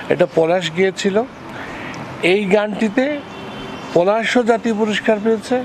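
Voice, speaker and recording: Ordinary pitch variation comes through over noticeable background noise. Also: man, high pitch for a man. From Bangladesh, Kushtia; Bangladesh. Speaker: lyricist and composer; interviewee. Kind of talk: interview. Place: garden.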